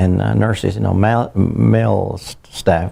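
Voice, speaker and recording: Speaking at a fairly slow pace, a man with a dark, mellow tone and vocal fry uses ordinary pitch variation. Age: 70s. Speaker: barber. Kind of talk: oral history interview. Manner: halting, many fillers and repetitions.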